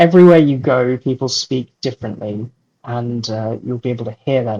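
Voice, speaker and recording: Recorded dry and close with no echo, a man with an English accent speaks at a moderate pace and medium pitch, somewhat breathy, with ordinary pitch variation. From London, England. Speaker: children's book author. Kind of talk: interview.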